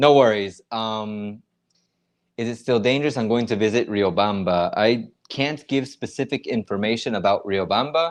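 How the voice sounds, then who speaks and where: An unremarkable speaking voice with an American accent, moderate pace and ordinary pitch variation against a quiet background. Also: man. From United States. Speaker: YouTuber. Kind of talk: livestream chat reading comments. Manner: casual, conversational.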